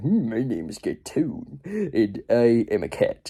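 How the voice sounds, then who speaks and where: At a fairly slow pace, a man delivers his lines. He uses a put-on character voice at a medium pitch. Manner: cartoonish, put-on cat voice.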